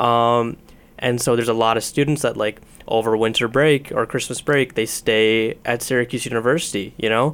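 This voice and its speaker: A man speaks at medium pitch with an American accent and an unremarkable speaking voice. His pace is moderate, his intonation fairly even, and his loudness very even. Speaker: student ministry leader. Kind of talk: interview conversation. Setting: studio.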